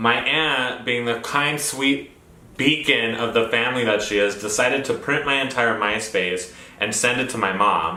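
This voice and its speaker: An animated voice with an American accent moves at a moderate pace with ordinary pitch variation, set against noticeable background noise and audible room echo. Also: man, medium pitch for a man. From New Mexico, Roswell. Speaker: vlogger. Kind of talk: personal storytelling. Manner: flamboyant.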